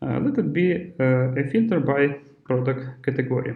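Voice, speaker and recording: Speaking at a fairly slow pace, a man talks with a non-native accent. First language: not English. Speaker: software developer / tutorial presenter. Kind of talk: tutorial. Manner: halting, many filler sounds.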